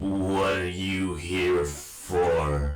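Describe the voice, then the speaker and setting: In a put-on character voice, a man sounds raspy and very deep, with a slight echo around him. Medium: read story. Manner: halting, grim.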